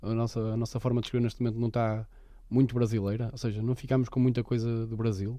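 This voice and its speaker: A man with a dark, mellow tone speaks at a very fast pace in a monotone, flat intonation. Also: medium pitch for a man. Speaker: podcast co-host. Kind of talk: casual chat.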